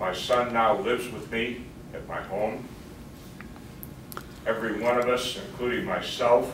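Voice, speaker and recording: Man at a fairly slow pace and medium pitch, with fairly even intonation, big swings in loudness, long, frequent pauses, noticeable background noise and audible room echo. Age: 70s. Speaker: victim. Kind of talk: victim impact statement. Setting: courtroom.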